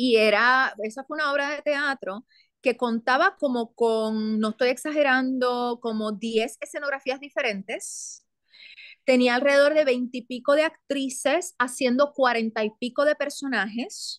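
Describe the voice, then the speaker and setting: A woman's high voice at a fairly slow pace with ordinary pitch variation, dry with no echo, over a quiet background. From Puerto Rico. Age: 40s. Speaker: actress and theatre producer; actress. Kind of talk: interview conversation. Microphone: video call.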